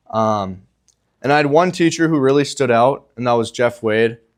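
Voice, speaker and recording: A man with an Upper Midwest accent speaks at medium pitch. His pace is moderate. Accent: Upper Midwest American. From Minnesota, Bemidji. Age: 20s. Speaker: college student athlete. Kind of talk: testimony.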